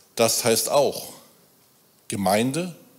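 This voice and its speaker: A man talking very slowly, with lively intonation. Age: 50s. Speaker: church volunteer. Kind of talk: sermon. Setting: church.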